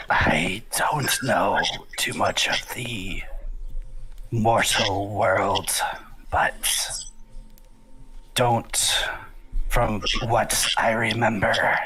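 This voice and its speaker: Using a put-on, raspy character voice at medium pitch, a man speaks at a very slow pace with long, frequent pauses over clear music in the background. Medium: actual play. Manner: dry, detached.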